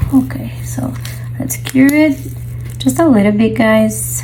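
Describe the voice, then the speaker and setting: Noticeable background noise and audible room echo surround a woman's speech. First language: not English. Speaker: resin artist. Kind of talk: tutorial. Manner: casual.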